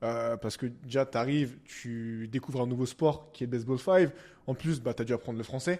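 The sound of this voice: Ordinary pitch variation marks this man's speech. His tone is slightly mellow and his pace moderate. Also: medium pitch for a man.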